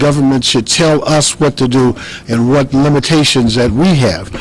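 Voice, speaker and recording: Ordinary pitch variation in an American accent, with noticeable background noise behind it. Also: man. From Chicago, Illinois. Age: 60s. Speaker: congressional candidate. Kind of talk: political interview. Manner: halting, many fillers and repeats.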